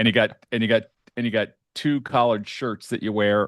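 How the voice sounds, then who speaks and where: In a dry, close recording with no echo and a quiet background, a man talks with a fairly low pitch. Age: 60s. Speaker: podcast host. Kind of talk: casual chat. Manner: halting.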